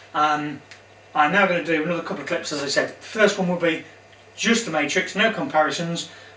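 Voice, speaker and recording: A man speaks at a fairly quick pace in a high voice with ordinary pitch variation. Noticeable background noise and audible room echo fill the recording. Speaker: guitar gear reviewer. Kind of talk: product demo tutorial. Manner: casual.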